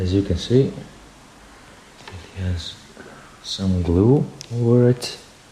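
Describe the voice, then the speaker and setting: A man with a non-native accent and a fairly low voice, very slow with long, frequent pauses, ordinary pitch variation, and noticeable background noise. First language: not English. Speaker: DIY hobbyist, music producer. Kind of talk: tutorial. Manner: halting.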